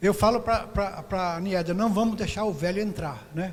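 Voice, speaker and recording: A man with a high pitch, ordinary pitch variation and a moderate pace, in a room with audible echo. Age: 70s. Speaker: missionary pastor. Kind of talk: sermon; prayer.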